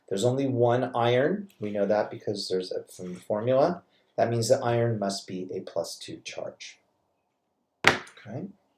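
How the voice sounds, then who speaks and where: A man's somewhat breathy voice at a medium pitch and moderate pace, with lively intonation and big swings in loudness. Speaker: chemistry teacher. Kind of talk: recorded lecture tutorial. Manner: halting, self-correcting.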